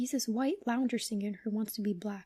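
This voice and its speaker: A soft-spoken man talks at a moderate pace with a high pitch and a dark, mellow tone. His intonation is fairly even, and the sound is dry and close with no echo. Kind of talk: horror story reading.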